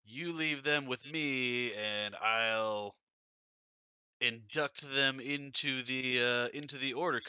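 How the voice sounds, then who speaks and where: A man's put-on character voice at a medium pitch, very slow, with fairly even intonation, on a very clean recording against a silent background. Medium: actual play. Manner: dismissive.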